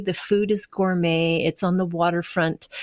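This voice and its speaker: This woman has a Canadian accent, an ordinary speaking voice and a fairly low pitch, speaking at a fairly slow pace. The recording is very clean, with a silent background. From Canada, Winnipeg. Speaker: firefighter and art quilter. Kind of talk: interview.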